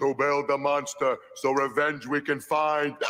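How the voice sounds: Doing a cartoonish character voice, a man talks at a fairly high pitch and a fairly slow pace over light background noise.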